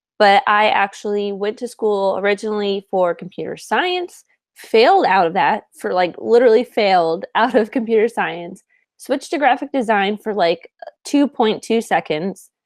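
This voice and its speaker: A woman speaks at a moderate pace in an unremarkable speaking voice, with medium pitch and lively intonation. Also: dry, close sound with no echo. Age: 20s. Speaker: podcast co-host. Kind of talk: casual chat.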